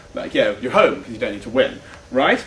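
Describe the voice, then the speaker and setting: There is audible room echo and noticeable background noise as the man speaks. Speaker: debate coach. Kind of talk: workshop lecture. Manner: fast; casual, hesitant with many fillers.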